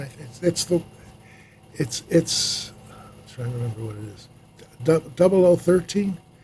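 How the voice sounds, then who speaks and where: Lively intonation over noticeable background noise. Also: man. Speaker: film sound mixer. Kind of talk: casual interview.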